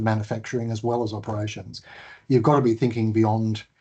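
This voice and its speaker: A man speaks at a very fast pace. His tone is dark and mellow, and somewhat breathy. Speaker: transport agency CEO hosting webinar. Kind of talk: webinar Q&A.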